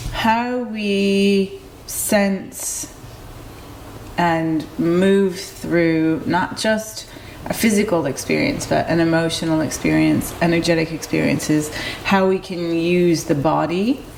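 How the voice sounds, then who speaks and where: A woman's fairly low voice at a very slow pace, with ordinary pitch variation and very even loudness, amid noticeable background noise and audible room echo. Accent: American. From US Midwest (Detroit, Michigan). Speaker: movement teacher and wellness coach. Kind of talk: interview conversation. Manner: halting, many fillers.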